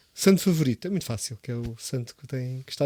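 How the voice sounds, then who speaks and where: A man with a Lisbon accent talks at medium pitch in a dark, mellow tone. The sound is dry and close, with no echo. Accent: European Portuguese, Lisbon. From Portugal, Sintra area near Lisbon. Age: 30s. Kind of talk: casual chat. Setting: studio.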